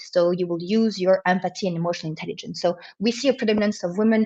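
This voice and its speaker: With pitch moving in a normal way, a woman talks at a medium pitch. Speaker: entrepreneur and CEO, webinar speaker. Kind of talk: webinar presentation. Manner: fast; hesitant, many fillers.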